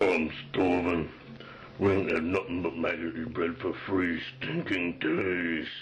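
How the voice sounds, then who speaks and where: A man puts on a character voice, very deep and low, at a fairly slow pace. Background noise is clearly audible. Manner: gruff.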